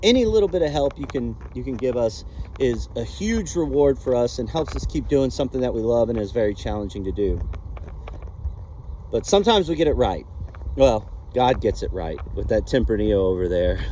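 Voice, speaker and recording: A man talks fairly quickly in an American accent, with noticeable background noise in the recording. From Texas. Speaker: vineyard owner and grape grower. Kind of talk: casual vlog walkthrough. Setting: outdoors in a vineyard. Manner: animated, excited.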